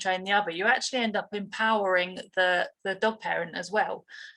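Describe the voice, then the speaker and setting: At a fairly quick pace, a woman with a British accent talks in a bright, sharp tone at medium pitch with fairly even intonation, recorded very cleanly against a silent background. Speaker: dog trainer. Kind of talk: interview. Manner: halting.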